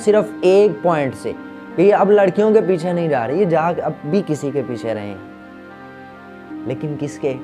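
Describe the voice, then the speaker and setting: A man speaks at a fairly high pitch with very wide pitch swings. Music plays in the background. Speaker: Urdu motivational speaker / comedy content creator. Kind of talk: motivational speech to camera. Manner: preachy, animated, lecturing.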